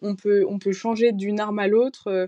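Against a quiet background, a woman talks at a fairly quick pace in a dark, mellow tone with fairly even intonation, the sound dry and close with no echo. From northern France, near Valenciennes. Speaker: military medical student. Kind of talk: interview.

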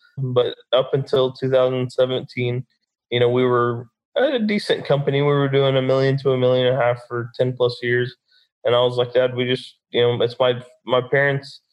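Monotone, flat intonation in a Texan accent. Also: man, medium pitch for a man, moderate pace, very even loudness. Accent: Texan American. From Texas, Dallas. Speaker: construction business owner and brain injury survivor. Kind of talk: interview.

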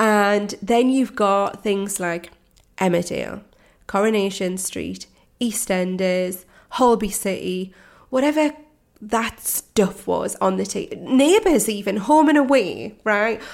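Very slowly, a woman speaks with a British accent and ordinary pitch variation. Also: medium pitch for a woman. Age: 40s. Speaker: mindset coach. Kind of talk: solo podcast monologue.

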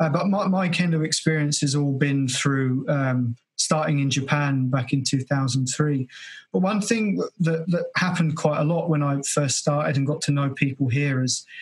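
A somewhat breathy man with an English accent talks at a moderate pace and a fairly high pitch, with ordinary pitch variation and very even loudness. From England. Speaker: podcast host. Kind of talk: casual interview. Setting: video call.

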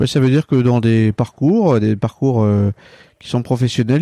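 A man speaks at a fairly slow pace in a dark, mellow tone, with fairly even intonation and a dry, close sound with no echo. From France, Centre-Val de Loire. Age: 40s. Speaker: regional business executive. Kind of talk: interview.

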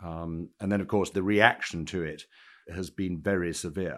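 A man with a British accent speaks in a very deep, low voice. His pace is moderate and his intonation fairly even. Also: very clean recording, silent background. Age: 50s. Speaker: equities broker and Japan specialist. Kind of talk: interview.

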